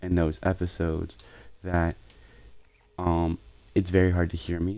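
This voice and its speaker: The soft-spoken voice has a dark, mellow tone and monotone, flat intonation. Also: man. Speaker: gaming streamer. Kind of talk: live gameplay commentary. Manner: halting, many fillers.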